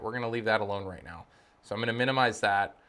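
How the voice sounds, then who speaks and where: A man speaks in an animated tone. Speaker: tech YouTuber. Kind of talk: tutorial. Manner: fast.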